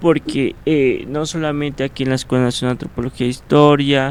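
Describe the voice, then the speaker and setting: Monotone, flat delivery in a Mexican accent, over noticeable background noise. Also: man. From Mexico, Cuentepec, Morelos. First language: Nahuatl (speaking Spanish). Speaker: ethnohistory student and Nahuatl teacher. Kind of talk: interview. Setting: radio studio. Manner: hesitant, many fillers.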